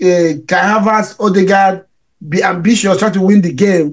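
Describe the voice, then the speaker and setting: A man speaks at a moderate pace in a high pitch. The background is quiet. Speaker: football show host. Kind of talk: post-match fan debate. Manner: halting. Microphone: studio mic.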